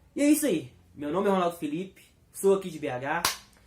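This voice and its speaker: A man speaks at a moderate pace. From Belo Horizonte, Minas Gerais, Brazil. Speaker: comic book speaker. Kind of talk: talk. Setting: live stream. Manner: spontaneous, unscripted.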